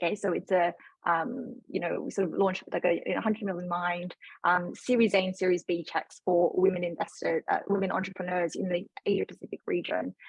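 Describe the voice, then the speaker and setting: With an Australian accent, a woman speaks at a fairly quick pace in a medium pitch, her intonation fairly even. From Australia, Sydney. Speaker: fund manager. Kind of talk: panel discussion. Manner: halting, many fillers.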